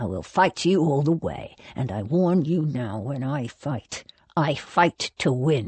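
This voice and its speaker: A growling, put-on character voice at low-to-middle pitch, moderate in pace, with long, frequent pauses. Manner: threatening, determined.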